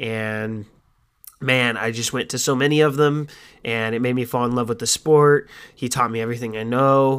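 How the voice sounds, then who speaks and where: The recording is very clean, with a silent background. A man with a medium pitch speaks at a moderate pace in a monotone, flat intonation. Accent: American. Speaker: podcast host. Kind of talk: casual solo monologue.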